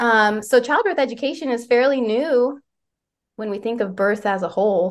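A woman with an American accent talks at a moderate pace, her pitch fairly high with ordinary variation. It's a normal speaking voice against a quiet background. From West Virginia. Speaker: doula and childbirth educator. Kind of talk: interview conversation.

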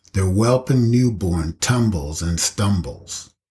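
Very slow and somewhat breathy, a man speaks in a very deep, low pitch with lively intonation. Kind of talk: spoken word poem. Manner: measured, dreamy, lyrical cadence.

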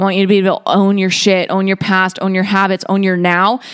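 In an American accent, a woman speaks at a very fast pace in an animated tone at medium pitch. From Boston area, Massachusetts. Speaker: wellness podcast host. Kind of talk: casual monologue.

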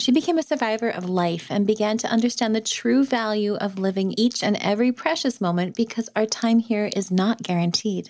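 This woman has a normal speaking voice at a fairly high pitch with ordinary pitch variation. She moves at a fairly quick pace with hardly any pauses. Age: 40s. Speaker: podcast host and photographer. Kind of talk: interview; scripted narration.

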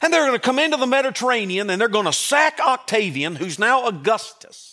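Speaking with a Southern US accent, a man with a high pitch delivers his words at a moderate pace in an animated, warm tone that is also bright and sharp, with lively intonation. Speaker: pastor. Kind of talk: Christmas sermon. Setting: church. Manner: animated, folksy preacher; warm, joking and emphatic, with audience call-and-response.

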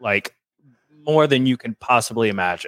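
In a Southern US accent, a man speaks at a medium pitch with a dry, close sound and no echo. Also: very clean recording, silent background. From Louisiana, US South. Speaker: TV personal assistant, reality show fan. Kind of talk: casual chat.

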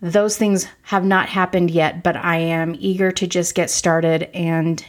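This woman's voice is fairly low in pitch and monotone, with flat intonation, at a fairly slow pace. The recording is very clean and the background silent. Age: 40s. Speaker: podcast host. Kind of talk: solo introductory monologue.

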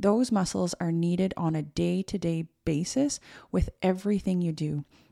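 In a very clean recording with a silent background and a dry, close sound without echo, a woman speaks in a nervous tone, her voice fairly low in pitch and dark and mellow. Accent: Canadian. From Canada. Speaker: physical therapist and podcast host. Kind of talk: solo podcast monologue. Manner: nervous, informal, conversational.

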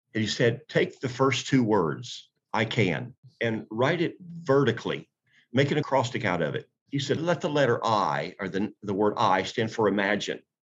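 Medium-pitched male voice with lively intonation and vocal fry. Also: moderate pace. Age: 60s. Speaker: pastor and author. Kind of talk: interview, preacherly talk.

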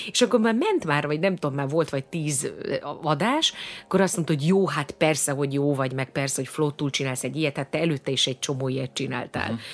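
A woman with a very deep, low pitch talks at a very fast pace with ordinary pitch variation. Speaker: singer and actress, stage host. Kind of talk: casual interview.

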